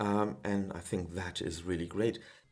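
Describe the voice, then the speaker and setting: A man speaks with a German accent at a fairly slow pace. His pitch varies in an ordinary way. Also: very clean recording, silent background. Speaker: music producer, synth tutorial maker. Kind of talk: casual tutorial talk. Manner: hesitant, many filler sounds.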